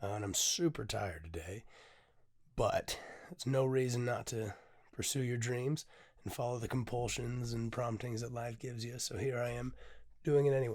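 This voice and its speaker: Somewhat breathy, the voice moves at a moderate pace, broken by long, frequent pauses. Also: man, medium pitch for a man, ordinary pitch variation, very clean recording, silent background. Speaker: poet and podcast host. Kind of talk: casual podcast monologue. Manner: hesitant, many filler sounds.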